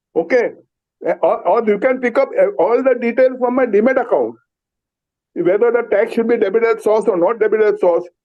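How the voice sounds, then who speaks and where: Talking at a fairly quick pace, a man has an extremely high pitch and ordinary pitch variation. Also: long, frequent pauses, very even loudness. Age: 70s. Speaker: shareholder speaking at AGM. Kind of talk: Q&A remarks at shareholder meeting.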